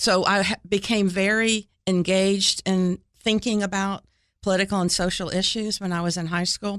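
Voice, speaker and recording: Over a silent background on a very clean recording, a woman with an American accent speaks at a moderate pace. Her medium-pitched voice is monotone and flat. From Florida and Ohio (US). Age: 60s. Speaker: city mayor. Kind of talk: interview. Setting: studio.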